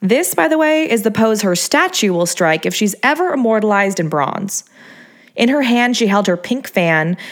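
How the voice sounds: Here we hear someone reading in a natural voice.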